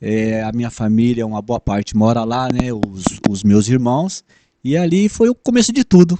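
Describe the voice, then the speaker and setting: With lively intonation and a dark, mellow tone, a man speaks at medium pitch and a moderate pace, the sound dry and close with no echo. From São Paulo city, Brazil. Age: 60s. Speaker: former bus driver. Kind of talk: interview. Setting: podcast. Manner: halting.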